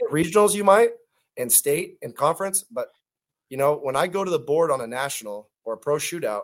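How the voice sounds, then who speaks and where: A man speaks in a plain, everyday voice at a fairly quick pace with lively intonation, on a very clean recording with a silent background. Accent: American. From California, Stockton. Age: 40s. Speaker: teacher and pro cornhole player. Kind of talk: interview.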